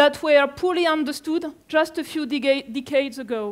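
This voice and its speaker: With a French accent, the speaker keeps a moderate pace and ordinary pitch variation. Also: woman. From France. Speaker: climate scientist. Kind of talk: lecture. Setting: conference room with audience.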